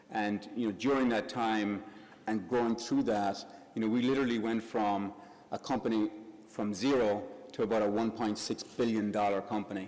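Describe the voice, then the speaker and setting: A man with an Irish accent, fairly low in pitch, monotone and flat, at a moderate pace. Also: very even loudness. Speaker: business group president. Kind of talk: event introduction speech. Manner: halting, many fillers.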